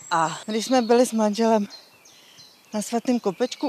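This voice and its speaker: With noticeable background noise, a woman speaks fairly slowly at a fairly high pitch. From Czech Republic, Příbram. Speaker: gallery owner. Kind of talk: casual chat. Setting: outdoors.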